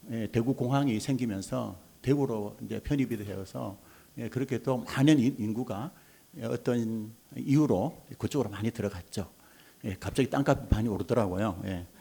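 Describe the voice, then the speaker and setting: With a strong Gyeongsang accent, a man speaks in a dark, mellow tone at medium pitch, moderate pace and ordinary pitch variation. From North Gyeongsang, Korea (Mungyeong). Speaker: childcare support center association head. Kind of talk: forum panel talk.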